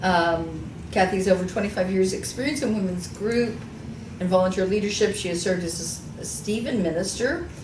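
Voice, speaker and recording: At a fairly quick pace, a woman with an American accent speaks at a medium pitch, with noticeable background noise and audible room echo. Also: ordinary pitch variation. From Texas, Houston. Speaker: radio talk show host. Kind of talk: reading bios aloud in interview.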